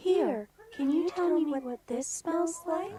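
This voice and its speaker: Extremely high in pitch, this put-on character voice moves at a fairly slow pace. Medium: audio drama. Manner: halting, ungrammatical.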